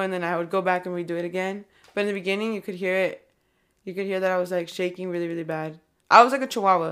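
A woman talks at a very fast pace in a medium pitch with fairly even intonation, in a very clean recording with a silent background. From California. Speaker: rapper. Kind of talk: casual interview chat.

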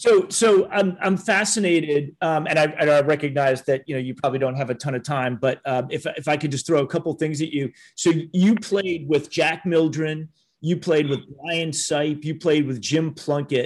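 With an American accent, a man speaks in an unremarkable speaking voice, fairly high in pitch, at a moderate pace with ordinary pitch variation. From US Midwest, Minneapolis and Cleveland. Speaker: podcast host. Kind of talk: interview.

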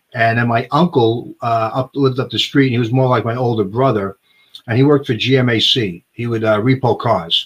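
Over music in the background, a man with an American accent speaks at a medium pitch and a moderate pace with fairly even intonation. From New York (Bronx). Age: 60s. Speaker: horrorcore band singer. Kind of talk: casual chat.

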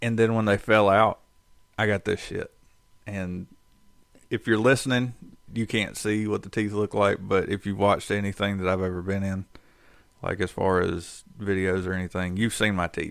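A man with a fairly low voice speaks in a monotone, flat way with long, frequent pauses. The recording is very clean, with a silent background. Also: moderate pace. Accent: North Carolina. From North Carolina. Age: 30s. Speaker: podcast co-host. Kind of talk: casual chat.

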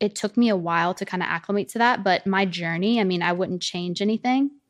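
A woman's medium-pitched voice in a Southern US accent, with ordinary pitch variation and hardly any pauses, in a dry, close sound with no echo over a quiet background. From US South. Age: 20s. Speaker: social media influencer. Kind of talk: casual chat.

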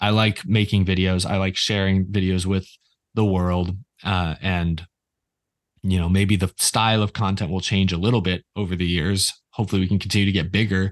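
Against a quiet background, a man with an American accent speaks at a fairly quick pace in a normal speaking voice. His pitch is fairly low, with fairly even intonation. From Texas, Houston. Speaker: YouTuber. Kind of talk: casual chat. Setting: video call.

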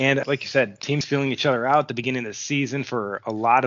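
A man with an American accent, very fast pace, monotone, flat intonation. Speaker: hockey podcast host, amateur goalie. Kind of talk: scripted news reading; casual chat.

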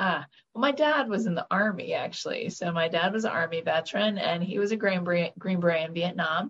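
A woman speaks at a medium pitch with an American accent and ordinary pitch variation. Hers is an unremarkable speaking voice, moving at a fairly quick pace. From Florida, Orlando. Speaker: state senator, nurse practitioner, navy veteran. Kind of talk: interview.

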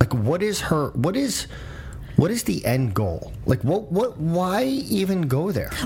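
A man speaks with a high pitch and very wide pitch swings over noticeable background noise. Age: 50s. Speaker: political commentator, podcast host. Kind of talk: casual debate.

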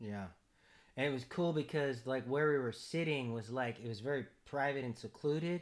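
The speech goes at a moderate pace. Its pitch varies in an ordinary way. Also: man, medium pitch for a man. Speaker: podcast host. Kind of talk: casual conversation. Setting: in person, shared mics. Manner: loud.

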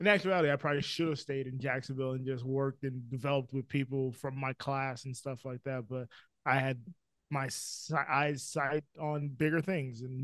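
A plain, everyday voice at a fairly quick pace, with fairly even intonation, against a quiet background. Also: man. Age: 20s. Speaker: film producer and editor. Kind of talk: casual chat.

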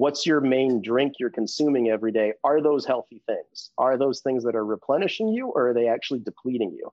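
A man in a normal speaking voice talks at a medium pitch and a fairly quick pace, with ordinary pitch variation and hardly any pauses. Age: 40s. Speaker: hormone therapy business owner. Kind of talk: casual interview.

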